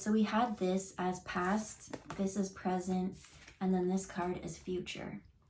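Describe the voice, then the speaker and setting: Noticeable background noise sits behind a woman with a medium pitch. She talks very slowly with fairly even intonation. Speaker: intuitive card reader. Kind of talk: tarot reading on camera. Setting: on camera. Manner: casual, halting with fillers.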